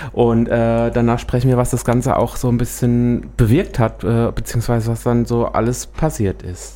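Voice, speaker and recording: A man barely pauses as he talks at a moderate speed. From Hesse, Büdingen area. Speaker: radio host. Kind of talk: talk radio interview. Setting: studio.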